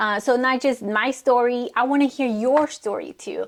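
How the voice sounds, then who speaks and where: Speaking fairly slowly with a Spanish accent, a woman uses a high pitch and fairly even intonation. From Mexico. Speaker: vlogger. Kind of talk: personal testimony.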